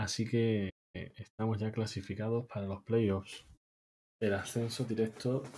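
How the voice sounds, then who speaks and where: At a fairly slow pace, a man speaks in a monotone, flat way with a dark, mellow tone that is somewhat breathy. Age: 30s. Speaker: video game streamer. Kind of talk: live gameplay commentary. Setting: live stream. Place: home room.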